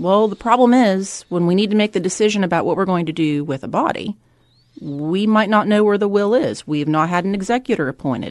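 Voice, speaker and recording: In an unremarkable speaking voice, a woman of medium pitch talks at a fairly quick pace with lively intonation. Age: 40s. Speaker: estate planning attorney. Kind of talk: interview.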